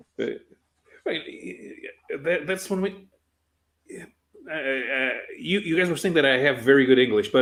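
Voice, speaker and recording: The speaker has a Portuguese accent and a moderate pace. Pitch varies in an ordinary way. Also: man. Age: 40s. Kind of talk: casual chat. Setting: live stream. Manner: halting, frequent uh pauses.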